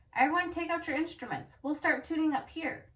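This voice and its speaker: Putting on a character voice, a woman speaks at an extremely high pitch and a fairly quick pace. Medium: read story. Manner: fretful.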